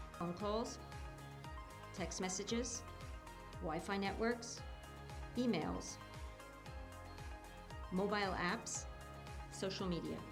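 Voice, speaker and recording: A woman's very slow speech full of long, frequent pauses, with music in the background. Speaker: voice actor. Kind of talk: educational animation narration.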